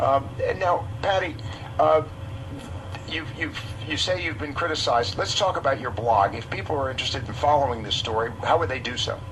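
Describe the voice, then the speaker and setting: A man speaks at medium pitch with lively intonation and a fairly quick pace. Audible room echo and noticeable background noise surround him. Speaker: radio host. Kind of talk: radio interview. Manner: halting, stumbling.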